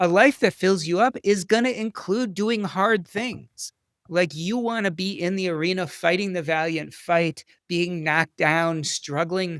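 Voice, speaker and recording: A man's high voice, animated and passionate, at a fairly slow pace with ordinary pitch variation and a dry, close sound with no echo. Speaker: physician and author. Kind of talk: interview conversation. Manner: animated, passionate.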